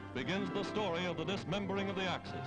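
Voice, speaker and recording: Music plays behind a man talking at a fairly quick pace in a dramatic tone. His pitch swings very widely. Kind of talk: newsreel narration. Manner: dramatic, emphatic.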